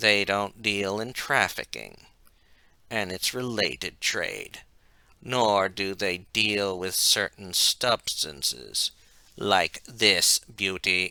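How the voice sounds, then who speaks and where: In a put-on character voice, a man hisses at a very slow pace in a menacing tone with a fairly low pitch. The sound is dry and close with no echo, on a very clean recording with a silent background. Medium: read story. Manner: menacing, hissing.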